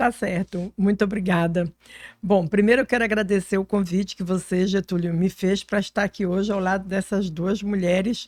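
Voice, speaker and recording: A woman with a plain, everyday voice talks at medium pitch and a moderate pace, in a very clean, dry, close recording with no echo and a silent background. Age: 60s. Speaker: politician. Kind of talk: podcast interview.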